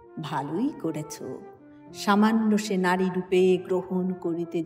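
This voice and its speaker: A woman speaks with music in the background. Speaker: voice actor. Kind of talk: poetry reading. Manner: dramatic, expressive.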